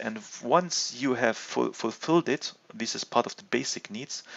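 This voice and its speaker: Speaking at a fairly slow pace, a man with a non-native accent uses ordinary pitch variation. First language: not English. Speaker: gaming video host. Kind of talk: video game commentary and discussion. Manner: halting, many fillers and restarts.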